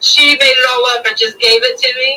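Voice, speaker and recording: A woman's raised, projected voice, high-pitched with ordinary pitch variation, at a fairly slow pace. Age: 50s. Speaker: folk singer and bard. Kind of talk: interview.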